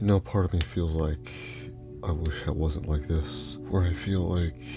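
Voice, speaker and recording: Soft-spoken whispering comes at a fairly slow pace with very even loudness over music in the background. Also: man. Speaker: YouTuber and Lego fan. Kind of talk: personal story voice-over. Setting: indoor home recording at night, late voice-over. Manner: soft-spoken, near whisper.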